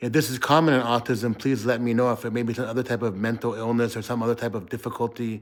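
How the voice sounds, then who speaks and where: A man speaks at a fairly quick pace. His pitch is medium. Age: 40s. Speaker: vlogger. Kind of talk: personal video diary.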